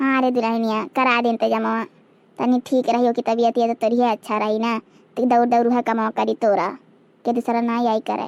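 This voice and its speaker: In a cartoonish character voice, a woman speaks at a fairly quick pace with fairly high pitch and monotone, flat intonation, the sound dry and close with no echo. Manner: warm, coaxing.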